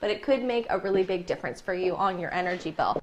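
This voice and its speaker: Noticeable background noise is heard. Over it, a woman talks at a very fast pace. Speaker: TV news reporter, anchor and weather presenter. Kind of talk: news segment giving household tips.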